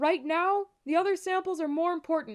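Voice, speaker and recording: Moderate pace and ordinary pitch variation. The voice is a put-on character. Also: woman. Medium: read story. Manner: commanding, brisk.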